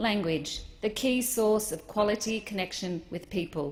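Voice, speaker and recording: A woman in an Australian accent, with ordinary pitch variation. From Australia (Melbourne area). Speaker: politician. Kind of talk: parliamentary maiden speech. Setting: parliament chamber. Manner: formal.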